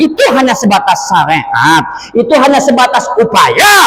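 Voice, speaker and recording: A man talks at an extremely high pitch with very wide pitch swings. Room echo is audible, and background noise is noticeable. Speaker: Islamic preacher. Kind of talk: sermon. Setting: mosque with congregation and PA system. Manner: animated; loud.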